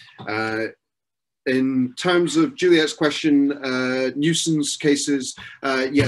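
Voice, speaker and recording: Very slowly, a man talks with a slight Scottish accent. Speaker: software consultant giving a webinar talk. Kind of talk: webinar Q&A. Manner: hesitant, many filler words.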